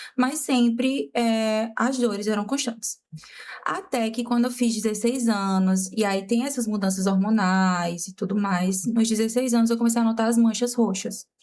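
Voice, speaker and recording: A woman's somewhat breathy voice at a moderate pace, its loudness very even. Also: fairly high pitch for a woman, ordinary pitch variation. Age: 20s. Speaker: makeup artist and teacher, patient. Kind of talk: casual interview, personal testimony.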